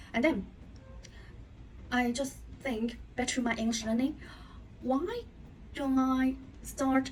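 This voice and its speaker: Long, frequent pauses mark a woman's very slow speech at a high pitch. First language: not English. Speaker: English learner. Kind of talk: casual talk to camera.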